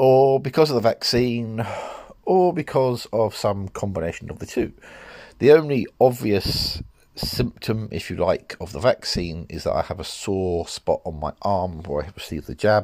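A man at a moderate pace with big swings in loudness and very wide pitch swings, on a very clean recording with a silent background. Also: medium pitch for a man. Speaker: podcast host. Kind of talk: casual monologue.

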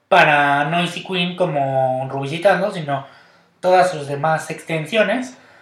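Audible room echo surrounds a man who talks at a fairly slow pace with a fairly high pitch and ordinary pitch variation. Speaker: podcast host. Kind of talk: casual chat. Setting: recording at home.

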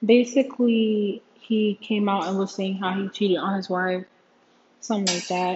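Somewhat breathy, a woman speaks at a moderate pace and medium pitch with fairly even intonation. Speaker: podcast host. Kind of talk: casual commentary. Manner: hesitant, many fillers. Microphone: room echo.

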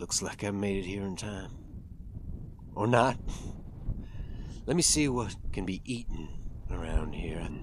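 A gruff, put-on character voice from a man, fairly low in pitch, at a moderate pace with long, frequent pauses and clear background noise. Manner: folksy, weary, talking to his horse.

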